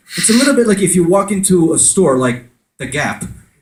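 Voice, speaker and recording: With an animated tone, a high-pitched man talks at a fairly quick pace, his pitch swinging very widely in a room with audible echo. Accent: American. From France. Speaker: conference speaker on conversion marketing. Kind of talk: conference talk with audience interaction.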